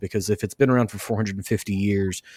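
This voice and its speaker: The delivery is monotone and flat, with a Western Kentucky accent. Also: man. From US South, Western Kentucky. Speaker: podcast host. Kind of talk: interview; scripted outro.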